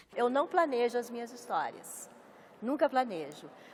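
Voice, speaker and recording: Recorded very cleanly against a silent background, a woman with a Minas Gerais accent speaks at a high pitch, the sound dry and close with no echo. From Brazil, Minas Gerais. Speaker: writer. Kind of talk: interview.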